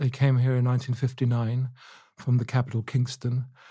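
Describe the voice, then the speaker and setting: A man's somewhat breathy voice at medium pitch, dark and mellow in tone, on a very clean recording with a silent background. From England, Luton. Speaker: historian and author. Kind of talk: interview.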